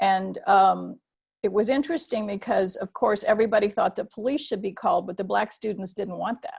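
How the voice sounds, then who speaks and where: A woman's medium-pitched voice with an American accent, vocal fry, ordinary pitch variation and a fairly quick pace. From US military bases, Japan-born mixed-race. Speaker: theologian. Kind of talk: webinar talk. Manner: hesitant, many fillers.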